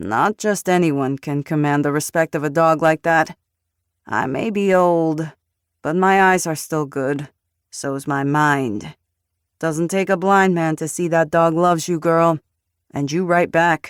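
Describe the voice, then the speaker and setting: In a very clean recording with a silent background, a gruff put-on character voice speaks at a middle pitch and a fairly slow pace. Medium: read story. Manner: gruff, threatening.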